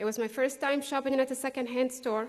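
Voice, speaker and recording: With a non-native accent, a woman speaks at a high pitch and a moderate pace. Her intonation is monotone and flat. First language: not English. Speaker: graduating student speaker. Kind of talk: graduation speech.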